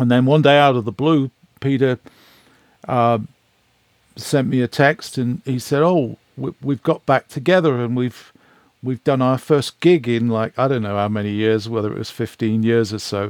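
A man with an ordinary speaking voice talks at a moderate pace with ordinary pitch variation, the sound dry and close with no echo. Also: medium pitch for a man. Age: 60s. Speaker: record producer. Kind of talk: interview, casual chat.

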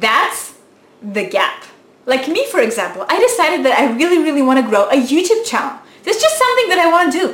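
Speaking in a non-native accent, a woman with a high pitch talks at a fairly quick pace with very wide pitch swings over noticeable background noise. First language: not English. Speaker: YouTuber. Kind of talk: motivational talk to camera. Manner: animated.

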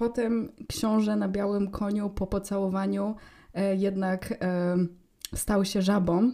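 A woman with a dark, mellow tone talks at a very slow pace in a monotone, flat intonation, her loudness very even, on a very clean recording with a silent background. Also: medium pitch for a woman. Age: young. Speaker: podcast co-host. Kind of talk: casual chat.

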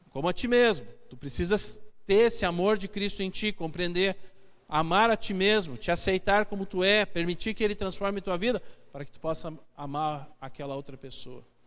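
A man speaks in a Brazilian accent at a moderate pace. His pitch sits high. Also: ordinary pitch variation. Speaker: preacher. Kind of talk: sermon, expository Bible teaching to a congregation, with a closing prayer. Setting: church. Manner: earnest and conversational, pausing to repeat key phrases for emphasis; direct, exhorting the listeners, with rhetorical questions.

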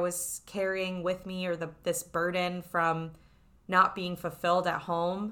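The tone is bright and sharp, with an American accent. The pace is fairly slow. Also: woman. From New York City. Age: 20s. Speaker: podcast host and life coach. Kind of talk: solo podcast monologue with ad read.

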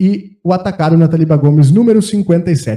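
A man is speaking. His tone is dark and mellow. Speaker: podcast host. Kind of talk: sponsor reading; casual chat.

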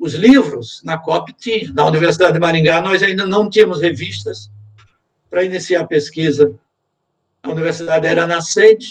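At a moderate pace, a man with a high pitch talks with lively intonation. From Sergipe, Northeast Brazil. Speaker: retired engineering professor. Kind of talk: interview.

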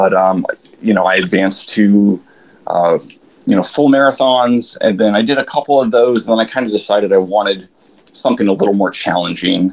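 A man with an American accent, an unremarkable speaking voice, a fairly low pitch, ordinary pitch variation, very even loudness and a fairly quick pace. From Florida. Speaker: ultramarathon runner. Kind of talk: casual chat. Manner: casual, many fillers.

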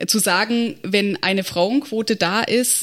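Speaking at a fairly slow pace, a woman with a plain, everyday voice has a fairly high pitch and ordinary pitch variation. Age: 30s. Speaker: state election candidate, local party board member. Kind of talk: casual podcast discussion.

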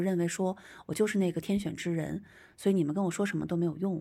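A woman's medium-pitched voice with a dark, mellow tone, on a very clean recording with a silent background. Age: young. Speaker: podcast host and traditional shaman. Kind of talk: storytelling monologue. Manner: hesitant, many filler sounds.

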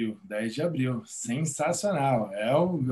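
A man speaks with very wide pitch swings. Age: 40s. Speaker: gratitude coach and therapist. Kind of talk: interview conversation.

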